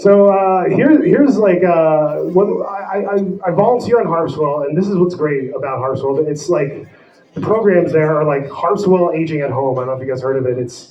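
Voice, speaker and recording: Over noticeable background noise, a man talks in a high voice with lively intonation. The room adds audible echo. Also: moderate pace. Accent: American. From New Jersey. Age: 40s. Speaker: comedian. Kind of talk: stand-up. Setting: stage with audience.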